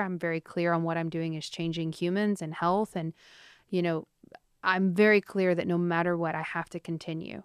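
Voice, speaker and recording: Against a quiet background, a woman with an unremarkable speaking voice and fairly low pitch talks at a moderate pace in a dry, close sound with no echo. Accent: American. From small-town Texas. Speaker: food entrepreneur. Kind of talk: interview conversation.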